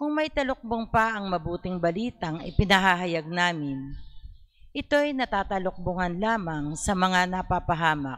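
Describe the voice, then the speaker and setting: Speaking at a fairly slow pace, a woman holds a medium pitch but makes very wide pitch swings. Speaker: lector. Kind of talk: scripture reading aloud. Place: church. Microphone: handheld.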